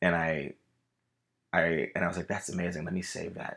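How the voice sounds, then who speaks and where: A man with an American accent at a moderate pace. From Los Angeles, California. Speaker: actor and singer. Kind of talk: casual chat. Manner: animated.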